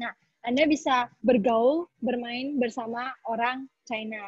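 A woman's high-pitched voice, dry and echo-free, against a quiet background. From Indonesia. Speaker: business consultant; webinar presenter. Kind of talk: webinar talk. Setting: video call. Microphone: video call.

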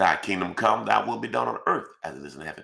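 A man's moderate pace is heard over a quiet background. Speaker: pastor. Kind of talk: fervent, rhythmic spoken prayer stacking scripture verses. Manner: repetitive incantatory cadence, each line opening 'Father God, I thank you'. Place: home room.

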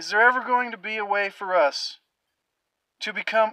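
Over a quiet background, a man speaks at a high pitch with a bright, sharp tone, the sound dry with no echo. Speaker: vlogger. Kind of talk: casual vlog monologue on health topic. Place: car. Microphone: phone near.

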